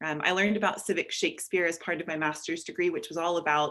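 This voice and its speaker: A woman with an American accent speaks at a very fast pace, her fairly low, bright and sharp voice keeping fairly even intonation. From United States. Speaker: networks and partnerships manager. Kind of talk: self-introduction in meeting.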